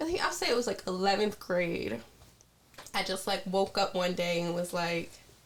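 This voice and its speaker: With an American accent, a woman speaks at a moderate pace and medium pitch. There is noticeable background noise. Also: ordinary pitch variation. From Baltimore, Maryland, US. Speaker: rapper. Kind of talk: interview.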